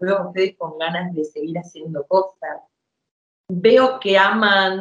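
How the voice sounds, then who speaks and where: At a moderate pace, a woman speaks in a plain, everyday voice at a medium pitch with ordinary pitch variation. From Argentina, rural Buenos Aires province. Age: 50s. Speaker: clown. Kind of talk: interview testimony.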